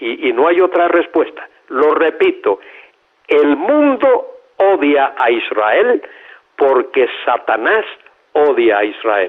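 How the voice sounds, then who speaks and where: Very slowly and with long, frequent pauses, a man speaks at a very even loudness. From Cuba. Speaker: theologian, pastor. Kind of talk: interview answer.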